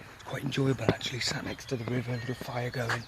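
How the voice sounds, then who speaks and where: Noticeable background noise and a man's medium-pitched voice at a fairly quick pace. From UK. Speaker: bushcraft vlogger. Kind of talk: outdoor vlog. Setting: outdoors by a river. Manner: whispering; halting, many fillers.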